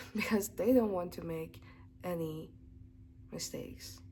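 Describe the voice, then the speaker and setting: A non-native accent comes through in this voice. Delivery is fairly slow. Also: woman. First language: not English. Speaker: English teacher. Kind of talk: casual tutorial. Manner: casual with hesitations.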